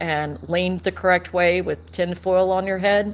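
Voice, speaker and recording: A woman with a Southern accent at a moderate pace. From US South, East Tennessee. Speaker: amateur astronomer. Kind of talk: live stream chat. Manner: casual, with fillers.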